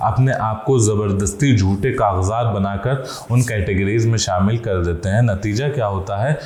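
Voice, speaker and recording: Somewhat breathy, a man with a fairly low pitch speaks with ordinary pitch variation. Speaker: Islamic scholar giving a lecture. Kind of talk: Islamic sermon (bayan) on corruption, addressing the audience.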